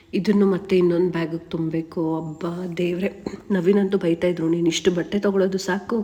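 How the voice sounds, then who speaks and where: A woman's fairly low voice in a monotone, flat intonation, with noticeable background noise. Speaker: vlogger. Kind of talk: casual vlog narration.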